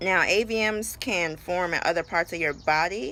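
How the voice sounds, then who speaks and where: Her voice has a bright, sharp tone and fairly low pitch, as this woman speaks with an American accent and ordinary pitch variation. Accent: sounds country now. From New York City. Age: 20s. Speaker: vlogger. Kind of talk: personal vlog. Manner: casual, filler-heavy.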